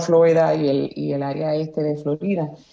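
The voice belongs to a woman. Behind her there is noticeable background noise. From Aguada, western Puerto Rico. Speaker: former journalist, communications professional. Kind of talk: casual interview. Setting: remote call, early morning. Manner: halting, many fillers.

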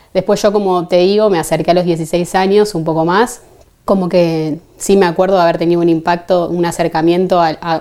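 Fairly quick and monotone, a woman speaks with a flat intonation at a fairly low pitch. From Argentina, Buenos Aires. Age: 30s. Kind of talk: testimony.

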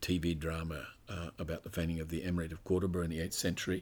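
In an Australian accent, the speaker rattles along at a very fast pace with monotone, flat intonation on a very clean recording with a silent background. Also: man. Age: 60s. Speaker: scholar and author. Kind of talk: interview conversation. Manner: halting.

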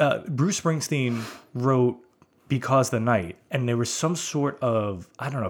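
An unremarkable speaking voice from a man with an American accent, medium pitch and a moderate pace. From US Northeast (Brooklyn, New York). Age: 40s. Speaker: podcast host. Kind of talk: casual chat.

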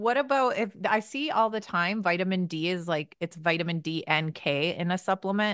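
Hardly pausing, a woman talks in an unremarkable speaking voice at medium pitch, with lively intonation. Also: moderate pace. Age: 30s. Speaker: podcast host. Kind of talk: casual chat.

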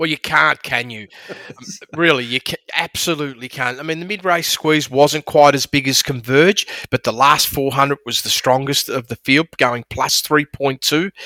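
A man with an Australian accent talks at a fairly slow pace in a fairly high pitch, his tone bright and sharp with ordinary pitch variation. The sound is dry and close, with no echo. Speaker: horse racing analyst. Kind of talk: casual sports analysis chat.

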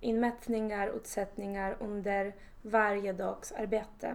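Speaking with a Polish accent, a woman keeps a monotone, flat delivery at a medium pitch. Her pace is fairly slow. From Poland. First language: Polish (speaking Swedish). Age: 20s. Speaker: surveying manager in construction. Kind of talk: interview. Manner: halting.

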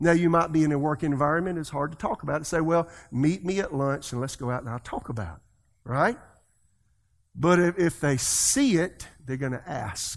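Speaking with a South Carolina accent, a man with a fairly high pitch shows ordinary pitch variation. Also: moderate pace. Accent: Southern US (South Carolina). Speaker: pastor. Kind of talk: sermon. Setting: church.

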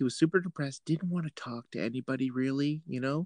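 With a Canadian accent and a plain, everyday voice, a man at a fairly high pitch talks at a fairly quick pace with ordinary pitch variation, in a dry, close sound with no echo. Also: quiet background. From Ontario, Canada. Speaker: podcast host. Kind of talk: casual chat.

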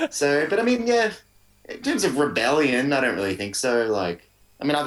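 A man with an Australian accent at a fairly quick pace, with lively intonation. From Melbourne, Australia. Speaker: musician. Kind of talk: casual chat. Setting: video call.

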